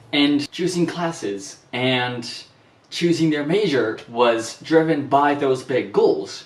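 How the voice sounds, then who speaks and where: Amid noticeable background noise and audible room echo, a man with a fairly high voice speaks at a very slow pace. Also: ordinary pitch variation. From Japan. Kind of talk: vlog monologue.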